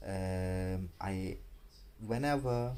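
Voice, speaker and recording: A man speaks in a dark, mellow tone. Room echo is audible around his voice. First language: not English. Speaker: vlogger. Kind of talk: casual vlog monologue. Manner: halting, many fillers and restarts.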